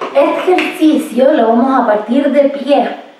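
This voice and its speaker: Audible room echo surrounds a woman's voice. She speaks at a fairly slow pace with ordinary pitch variation. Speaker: exercise instructor. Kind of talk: tutorial. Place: home room. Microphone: camera far.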